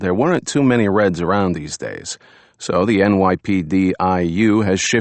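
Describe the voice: Just plain reading aloud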